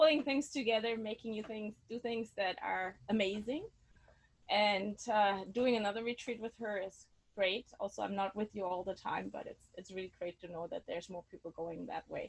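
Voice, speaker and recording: Speaking with a German accent, a woman talks at a moderate pace in a fairly high pitch, with ordinary pitch variation and big swings in loudness. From Germany. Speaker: sound healer. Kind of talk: online workshop instruction. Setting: video call, outdoors on her deck. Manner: halting.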